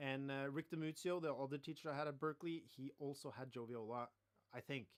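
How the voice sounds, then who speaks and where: Ordinary pitch variation marks this man's speech. His pace is fairly quick. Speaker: saxophone teacher. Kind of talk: live online masterclass. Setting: livestream.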